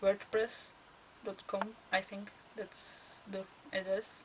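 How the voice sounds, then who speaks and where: A woman with a Czech accent speaks very slowly at a medium pitch, with noticeable background noise. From Czech Republic. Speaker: costuming hobbyist vlogger. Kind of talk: casual monologue answering questions. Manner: halting, with fillers.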